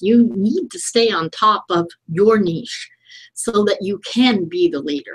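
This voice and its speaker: This woman has a medium pitch and a somewhat breathy sound. She talks at a fairly slow pace. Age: 60s. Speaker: digital strategist. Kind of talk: interview.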